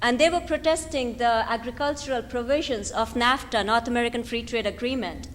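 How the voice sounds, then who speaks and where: A woman talks at a moderate pace in a high pitch. Her pitch varies in an ordinary way. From India. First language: not English (Indian language). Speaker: activist, think tank director. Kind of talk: lecture. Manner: animated.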